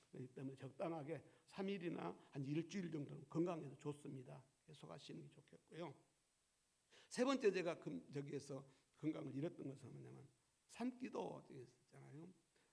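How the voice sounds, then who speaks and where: This man has a fairly high pitch, vocal fry, lively intonation and big swings in loudness at a moderate pace. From South Korea. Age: 70s. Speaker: pastor. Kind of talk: sermon. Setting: church.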